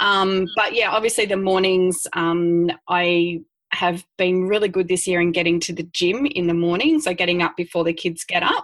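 A woman's fairly low voice at a moderate pace, with hardly any pauses and very even loudness. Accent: Australian. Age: 40s. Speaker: dance studio owner. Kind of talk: interview. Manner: animated.

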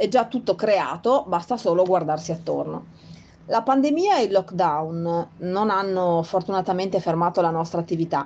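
Here is an ordinary speaking voice at a moderate pace with ordinary pitch variation. The background is quiet. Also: woman, medium pitch for a woman. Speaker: nursery owner. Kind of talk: prepared personal statement.

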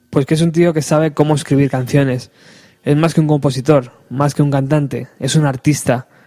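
This man's voice has a dark, mellow tone and a fairly high pitch, delivered at a moderate pace with monotone, flat intonation, very even loudness and a somewhat breathy quality. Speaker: radio host. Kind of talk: radio show with interviews.

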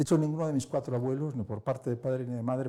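A man talks in a dark, mellow tone, a little breathy, with pitch that varies in an ordinary way. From Spain. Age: 60s. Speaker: philosopher and editor. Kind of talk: interview. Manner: hesitant.

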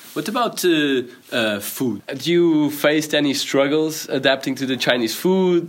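This is a man talking. He has a Portuguese accent. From Portugal. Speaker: podcast host, student. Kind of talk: reading aloud; interview. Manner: hesitant.

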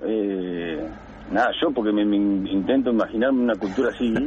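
Noticeable background noise runs behind a man speaking at a moderate pace. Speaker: caller, childhood friend and teammate. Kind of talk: radio interview.

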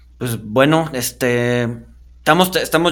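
The man talks fairly slowly, his medium pitch showing ordinary variation. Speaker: podcast host. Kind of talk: interview. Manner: halting.

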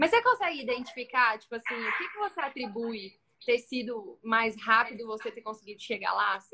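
A woman talks at a fairly quick pace with big swings in loudness. Her pitch varies in an ordinary way. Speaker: live stream host for photographers. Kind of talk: interview on live stream.

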